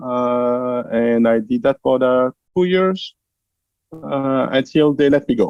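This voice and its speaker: A man is speaking. He has a French accent. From France. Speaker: translation company founder. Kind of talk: interview.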